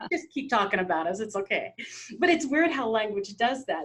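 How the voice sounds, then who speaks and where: With an American accent, this woman's fairly high, somewhat breathy voice moves with lively intonation. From Philippines, grew up in US. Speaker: podcast host. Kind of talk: interview conversation.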